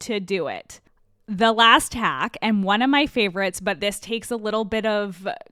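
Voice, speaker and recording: A woman speaks in an animated tone at a fairly high pitch. Her pitch variation is ordinary. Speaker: podcast host. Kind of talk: podcast monologue. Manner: fast.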